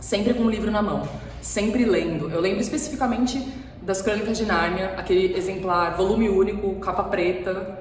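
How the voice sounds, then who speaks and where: Amid audible room echo and noticeable background noise, a woman talks at a medium pitch and a moderate pace. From São Paulo coast, Brazil (São Vicente). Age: 30s. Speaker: writer. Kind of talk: recorded personal talk to camera. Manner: hesitant, many fillers.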